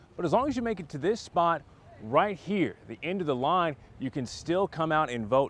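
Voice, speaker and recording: Using an unremarkable speaking voice, a man with an American accent talks at a fairly quick pace with lively intonation. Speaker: TV news reporter and anchor. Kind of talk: TV news reporting and anchoring. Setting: outdoors, live field reports.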